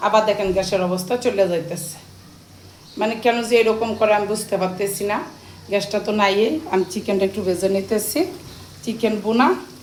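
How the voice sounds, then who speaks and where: Noticeable background noise sits behind the voice. A woman talks at a medium pitch, her intonation fairly even. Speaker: family vlogger. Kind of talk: vlog narration.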